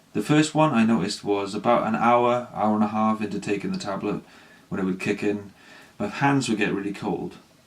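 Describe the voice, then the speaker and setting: Over noticeable background noise, a man talks in a fairly low pitch with ordinary pitch variation. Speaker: ADHD vlogger. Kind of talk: personal vlog, unscripted. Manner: halting, struggles to get words out.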